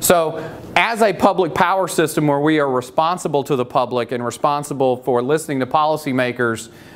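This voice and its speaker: Noticeable background noise sits behind a man speaking at a fairly quick pace. His pitch is fairly high, with ordinary variation. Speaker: utility industry speaker. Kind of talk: motivational talk.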